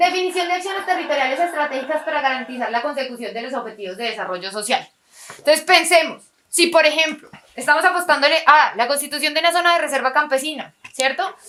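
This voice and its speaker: Raising and projecting her high-pitched voice, a woman talks at a very fast pace with lively intonation. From Colombia, Quindío. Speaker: workshop facilitator. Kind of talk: lecture. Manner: conversational, rhetorical questions.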